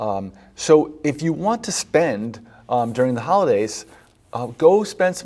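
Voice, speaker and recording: A man's fairly high voice swings very widely in pitch. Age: 50s. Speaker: physician hosting a health show. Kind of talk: health advice talk. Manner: conversational with many fillers.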